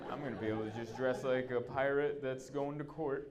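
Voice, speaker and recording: A man with an American accent, fairly high pitch and ordinary pitch variation speaks at a fairly quick pace amid noticeable background noise and audible room echo. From Southern California. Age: 30s. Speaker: stand-up comedian. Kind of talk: stand-up. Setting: stage with audience. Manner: animated.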